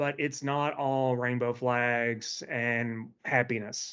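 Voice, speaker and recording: A man speaks at medium pitch in a Tennessee accent. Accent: Southern US (Tennessee). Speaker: event host, employee group member. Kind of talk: event introduction speech. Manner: casual, many filler words.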